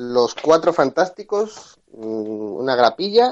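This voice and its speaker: Against a quiet background, a man speaks at a medium pitch with very wide pitch swings. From Andalusia (Cádiz, El Puerto de Santa María). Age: 20s. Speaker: graphic designer. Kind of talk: casual chat.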